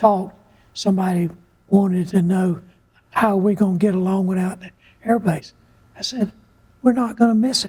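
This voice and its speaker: The speaker talks at a moderate pace in a Southern US accent. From US South, North Carolina and coastal South Carolina. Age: 80s+. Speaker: retired air force colonel, redevelopment director. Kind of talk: interview. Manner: halting.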